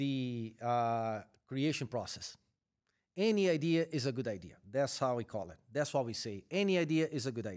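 The pitch of this man's voice is medium, yet it swings very widely. He talks at a moderate pace. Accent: Brazilian. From Brazil. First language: Portuguese. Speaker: corporate supply chain executive. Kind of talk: interview.

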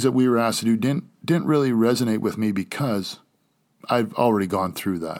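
The speaker uses lively intonation at a moderate pace. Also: man. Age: 40s. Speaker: podcast host. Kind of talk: personal monologue. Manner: loud; animated.

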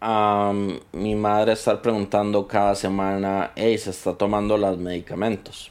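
In a very clean recording with a silent background, a man speaks at a fairly slow pace with a Costa Rican accent and monotone, flat intonation. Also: fairly low pitch for a man, hardly any pauses. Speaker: podcast editor sharing mental health experience. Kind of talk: personal testimony in interview. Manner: halting, with repetitions.

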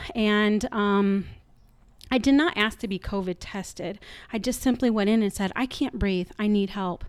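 A woman with an ordinary speaking voice talks at a moderate pace, her medium pitch showing ordinary variation, on a very clean recording with a silent background. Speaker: guest sharing Covid story. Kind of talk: personal storytelling. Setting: kitchen table at home.

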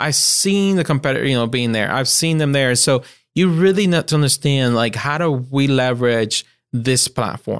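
With a Puerto Rican accent, a man speaks at medium pitch and very even loudness. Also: ordinary pitch variation, moderate pace. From Puerto Rico. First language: Spanish. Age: young. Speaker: marketing agency principal. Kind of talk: interview.

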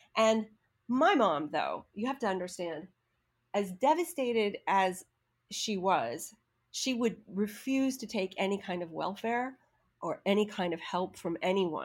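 On a very clean recording with a silent background, a woman speaks at a fairly slow pace with lively intonation in an unremarkable speaking voice. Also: medium pitch for a woman. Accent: American. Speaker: acting coach. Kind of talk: storytelling.

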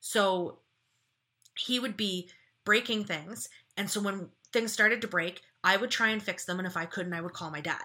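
A bright, sharp tone at a moderate pace, with long, frequent pauses and ordinary pitch variation, in a very clean recording with a silent background. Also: woman, medium pitch for a woman. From Ontario, Canada. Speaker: former journalist and online commentator. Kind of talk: casual chat. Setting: studio.

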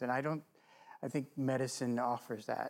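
A man's ordinary speaking voice at medium pitch, fairly quick, with fairly even intonation, on a very clean recording over a silent background. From Missouri. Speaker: physician and medical school administrator. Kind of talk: interview conversation. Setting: studio.

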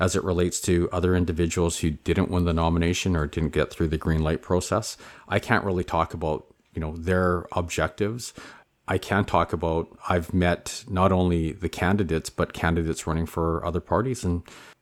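Recorded very cleanly against a silent background, the voice carries a Canadian accent, fairly even intonation and a fairly quick pace. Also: man, very deep, low pitch for a man. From Vancouver, Canada. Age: 40s. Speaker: mayoral candidate. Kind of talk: political interview.

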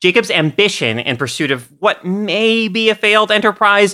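The woman's voice has a bright, sharp tone. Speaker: podcast host. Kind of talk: casual chat.

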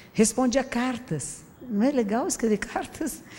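Somewhat breathy female speech, dark and mellow in tone. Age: 60s. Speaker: Buddhist teacher giving public talk. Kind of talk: public talk. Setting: stage with audience. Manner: conversational.

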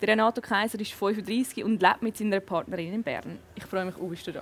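At a fairly quick pace, a woman uses a normal speaking voice with a fairly high pitch and ordinary pitch variation. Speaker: talk show host. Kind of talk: casual interview; scripted intro. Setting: restaurant.

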